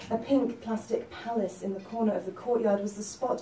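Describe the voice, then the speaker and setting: Noticeable background noise sits behind a woman with a fairly high pitch. She keeps a moderate pace and ordinary pitch variation. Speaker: novelist. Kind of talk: spoken word reading of own fiction.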